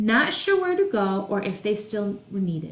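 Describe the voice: Someone is doing plain reading aloud.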